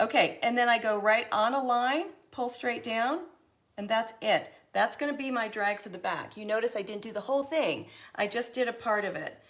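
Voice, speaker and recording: At a moderate pace, a woman with an unremarkable speaking voice talks at a fairly high pitch, with ordinary pitch variation and big swings in loudness. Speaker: craft tutorial host. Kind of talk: tutorial.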